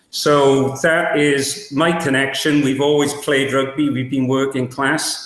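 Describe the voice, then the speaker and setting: Very slow, monotone male speech with flat intonation, hardly any pauses and very even loudness. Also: fairly high pitch for a man. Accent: Welsh. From Wales, Cardiff. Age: 70s. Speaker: rugby coach. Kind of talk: podcast interview.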